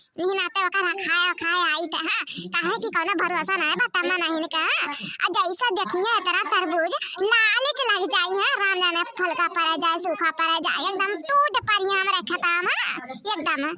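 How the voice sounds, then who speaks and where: The speaker uses a cartoonish character voice at a moderate pace. Background noise is clearly audible. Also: woman, extremely high pitch for a woman, ordinary pitch variation. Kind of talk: cartoon comedy. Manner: chatty, repetitive.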